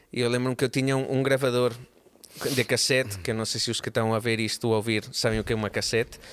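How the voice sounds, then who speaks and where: In a monotone, flat intonation, a man talks at a very fast pace at medium pitch. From Barcelona, Spain. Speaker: musician and drummer. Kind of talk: casual chat.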